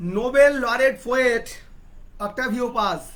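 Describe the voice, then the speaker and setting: Very slow speech with a Bengali accent. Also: man. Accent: Indian English, Bengali. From India, West Bengal. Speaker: poet and talk show host. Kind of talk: interview. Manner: halting.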